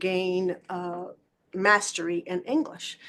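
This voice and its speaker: This woman has a Spanish accent. She talks very slowly. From Puerto Rico and New York. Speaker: school district superintendent. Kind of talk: panel talk.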